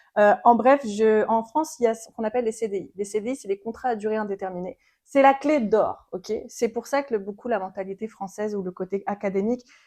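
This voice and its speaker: A woman speaks at a fairly quick pace with hardly any pauses, her pitch fairly high. Her tone is dark and mellow, with ordinary pitch variation. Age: 20s. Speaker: podcast guest. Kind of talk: interview, personal story. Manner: fast.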